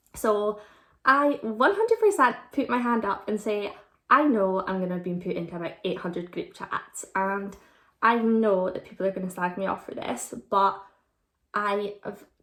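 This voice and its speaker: In a very clean recording with a silent background, a woman with an Aberdeen accent speaks at medium pitch and a moderate pace, with ordinary pitch variation. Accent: Scottish (Aberdeen). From Scotland, Aberdeen. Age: 20s. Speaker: vlogger. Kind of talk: casual Q&A vlog.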